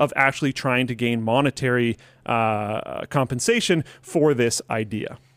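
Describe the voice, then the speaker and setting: In a very clean recording with a silent background, a man puts on a robotic character voice. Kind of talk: formal, analytical debate delivery. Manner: robotic, like an AI commentator.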